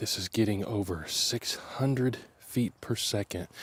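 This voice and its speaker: Somewhat breathy, a man talks at a very slow pace with fairly even intonation. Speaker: hunting video creator. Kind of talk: casual vlog to camera. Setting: outdoors in the woods. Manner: quiet, hushed.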